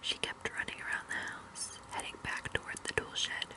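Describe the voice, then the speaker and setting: Whispering, a woman speaks against noticeable background noise. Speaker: ASMR creator. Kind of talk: ASMR scary story reading. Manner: whispered, soft, slow.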